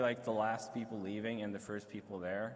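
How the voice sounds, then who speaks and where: Amid noticeable background noise and audible room echo, a man with an American accent speaks at a moderate pace and a fairly low pitch. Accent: American-sounding English. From Sweden. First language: Swedish. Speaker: streaming network host. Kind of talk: convention panel talk.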